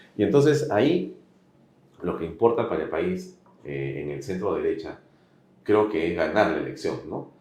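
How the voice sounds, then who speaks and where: Very wide pitch swings in a man's fairly low voice, a moderate pace with long, frequent pauses, and audible room echo. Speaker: interviewer, political commentator. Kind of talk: political interview.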